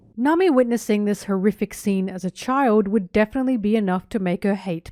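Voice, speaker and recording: A woman speaks at a medium pitch and a moderate pace, her tone dark and mellow with ordinary pitch variation. The recording is very clean, with a silent background. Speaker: anime video essayist. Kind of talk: video essay narration.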